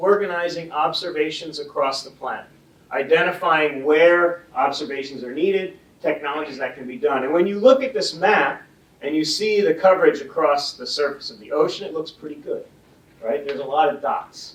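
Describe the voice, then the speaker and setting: A man at a fairly high pitch and moderate pace, big swings in loudness, noticeable background noise. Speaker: ocean scientist panelist. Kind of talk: panel presentation.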